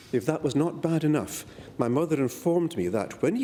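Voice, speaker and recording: With a slight Scottish accent, a man talks in a dark, mellow tone at a fairly high pitch. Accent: slight Scottish lilt. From Malaysia and Perth, Western Australia, Scottish family. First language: Malay. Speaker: politician. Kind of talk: parliamentary speech. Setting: parliament chamber. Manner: formal.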